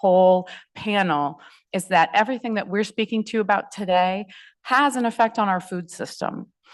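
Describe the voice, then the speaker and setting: A woman speaks at a medium pitch and a moderate pace. Her pitch varies in an ordinary way, over a quiet background. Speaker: food rescue nonprofit director, panel speaker. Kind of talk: panel presentation. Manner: loud.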